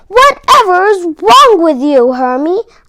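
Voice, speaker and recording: A woman uses a squeaky put-on character voice at an extremely high pitch, swinging very widely in pitch. She delivers it at a fairly slow pace. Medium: read story. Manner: barking.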